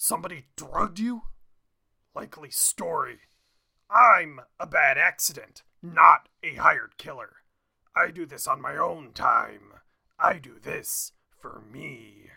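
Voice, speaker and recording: A man performs a put-on character voice at a fairly slow pace. He leaves long, frequent pauses. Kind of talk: comic script read-through. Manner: taunting, then brooding.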